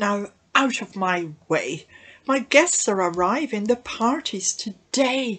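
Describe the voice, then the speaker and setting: A female-sounding, put-on character voice comes through shrill and fairly high-pitched. It moves at a fairly slow pace. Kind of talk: children's story reading. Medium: read story. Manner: snappish, bossy, threatening.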